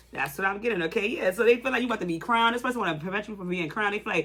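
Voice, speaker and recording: Over noticeable background noise, the speaker talks at a very fast pace. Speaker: tarot reader. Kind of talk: tarot reading monologue. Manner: halting, repetitive.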